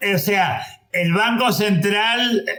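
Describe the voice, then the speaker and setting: A man speaks at a high pitch in a raised, projected voice. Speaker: economist. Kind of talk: panel discussion. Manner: halting.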